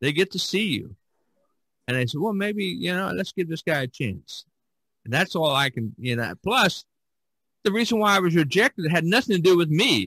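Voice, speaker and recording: A man's high, bright, sharp-toned voice at a moderate pace, with very wide pitch swings and long, frequent pauses. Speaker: podcast host and artist. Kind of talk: casual chat.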